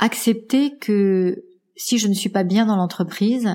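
A woman talks at a fairly slow pace, her voice somewhat breathy. Her pitch sits in the medium range with ordinary variation. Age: 50s. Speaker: executive coach and podcaster. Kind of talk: interview. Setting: at home.

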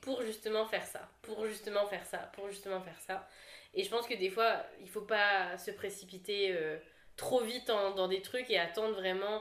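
A woman has an unremarkable speaking voice with a fairly high pitch. She talks at a moderate pace. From Réunion (La Saline). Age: 20s. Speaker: content creator. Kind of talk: casual chat.

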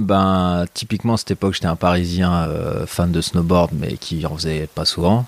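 Recorded dry and close with no echo, a man speaks at a moderate pace in a very deep, low voice. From Paris region, France (Meudon suburbs). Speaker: snowboard photographer and filmmaker. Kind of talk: casual chat. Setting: at home in his kitchen.

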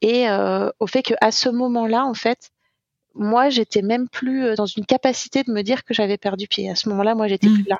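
At a moderate pace, a woman talks in an ordinary speaking voice, fairly high in pitch, with fairly even intonation. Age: 30s. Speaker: eating disorder survivor sharing testimony. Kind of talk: testimony.

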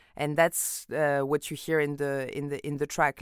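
With a French accent, a woman speaks at a moderate pace in a very deep, low pitch, in a very clean recording with a silent background. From France. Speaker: singer and DJ. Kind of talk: interview.

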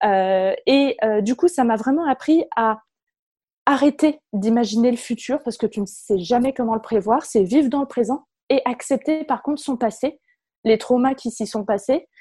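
Against a quiet background, a woman speaks at a fairly slow pace in a high pitch with ordinary variation. The sound is dry and close with no echo, and her tone is dark and mellow. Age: 20s. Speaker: communications manager and workplace wellbeing officer. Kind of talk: interview.

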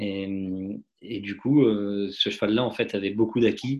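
Against a quiet background, a man talks in a fairly low voice with fairly even intonation. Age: 30s. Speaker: racehorse owner and dentist. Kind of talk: interview. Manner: halting, many repetitions and fillers.

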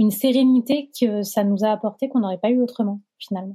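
Somewhat breathy, a woman speaks with a fairly high pitch and a dark, mellow tone. Her pace is moderate and her intonation fairly even. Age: 30s. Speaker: sociologist. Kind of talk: testimony.

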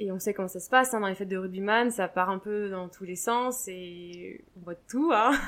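An ordinary speaking voice at a moderate pace, with ordinary pitch variation, hardly any pauses and big swings in loudness. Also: woman, medium pitch for a woman. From France, Deux-Sèvres. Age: young. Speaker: rugby player's wife, former gymnastics coach. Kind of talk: interview. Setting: at her home.

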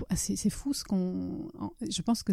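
A woman's medium-pitched voice with a dark, mellow tone at a moderate pace, on a very clean recording with a silent background. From Italy, schooled mostly in France. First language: Italian (speaking French). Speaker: novelist. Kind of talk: casual interview. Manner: halting, many repetitions.

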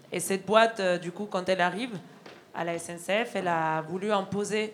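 With a plain, everyday voice, a woman talks at a moderate pace, with a medium pitch and fairly even intonation. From Argentina. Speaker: railway signal worker, union activist. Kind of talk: testimony at a public evening. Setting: stage with audience.

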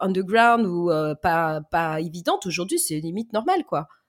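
Speaking at a moderate speed, a woman's voice leaps very widely up and down in pitch. The recording is very clean, with nothing audible behind her. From Lyon area, France. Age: 40s. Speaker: dental assistant. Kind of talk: casual interview.

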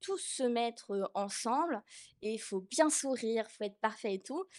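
A woman speaks at a moderate pace with lively intonation and a fairly high pitch. The recording is very clean, with a silent background. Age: 20s. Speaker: artist. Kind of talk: testimony. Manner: halting.

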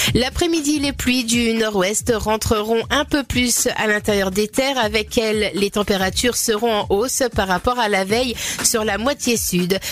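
Over noticeable background noise, a woman with a fairly high pitch speaks at a fairly slow pace, with hardly any pauses, very even loudness, and ordinary pitch variation. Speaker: weather presenter. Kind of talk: weather forecast reading.

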